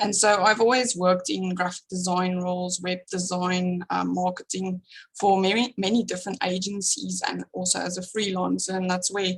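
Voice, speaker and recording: A woman's somewhat breathy voice at a medium pitch, monotone and flat, at a moderate pace with hardly any pauses. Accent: strong South African. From South Africa. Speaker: small business founder, graphic designer. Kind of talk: interview podcast.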